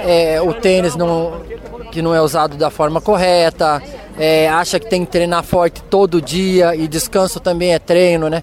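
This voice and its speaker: A man with a high pitch, at a fairly slow pace, over crowd noise in the background. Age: 40s. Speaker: runner and physiotherapist. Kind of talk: post-race interview.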